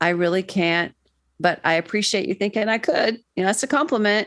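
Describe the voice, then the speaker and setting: Speaking with an American accent at a fairly quick pace, this is an unremarkable speaking voice with ordinary pitch variation. The background is quiet. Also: woman. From Florida, US. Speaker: mental health counsellor. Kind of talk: interview conversation.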